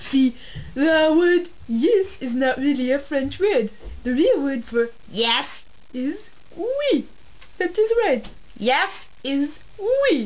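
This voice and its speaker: In a put-on character voice, the delivery moves at a very slow pace with long, frequent pauses over clear background noise. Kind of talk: comedy sketch, mock language lesson.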